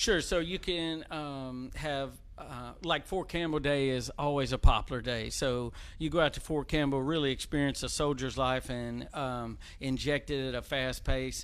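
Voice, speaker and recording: At a moderate pace, a man with a Tennessee accent speaks with fairly even intonation and a fairly high pitch. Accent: Southern US (Tennessee). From Clarksville, Tennessee. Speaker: civic leadership board member. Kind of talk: casual talk show interview.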